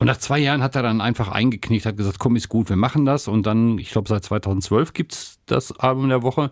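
A man with an unremarkable speaking voice at medium pitch, fairly quick pace, hardly any pauses and ordinary pitch variation, on a very clean recording with a silent background. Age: 60s. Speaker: podcast co-host and radio presenter. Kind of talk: casual chat.

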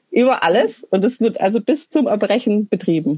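With lively intonation and a moderate pace, a woman speaks at a fairly high pitch in a plain, everyday voice, the sound dry and close with no echo. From Swabian Alb, Germany (Münsingen). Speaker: punk musician and social worker. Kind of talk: casual interview chat.

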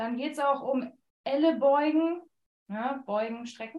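A woman with ordinary pitch variation. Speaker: flute teacher. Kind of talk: podcast intro and webinar excerpts.

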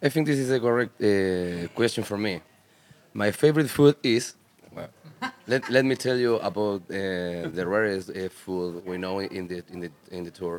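A man with a Spanish accent speaks at a moderate pace in a fairly low voice, his loudness swinging widely over noticeable background noise. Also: ordinary pitch variation. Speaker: punk rock musician. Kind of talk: casual interview. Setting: festival radio studio. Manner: halting.

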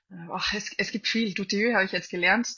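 A woman speaking at a very fast pace. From Austria, Salzburg. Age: 20s. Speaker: classical cellist. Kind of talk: interview.

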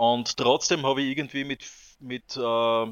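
The man's intonation is monotone and flat. He talks fairly slowly at a medium pitch. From southern Styria, Austria. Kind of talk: casual interview chat.

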